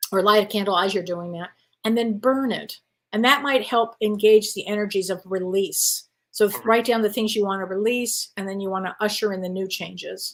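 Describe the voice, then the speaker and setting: At a moderate pace, a woman talks in a normal speaking voice of medium pitch with fairly even intonation. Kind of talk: casual conversation on live talk show.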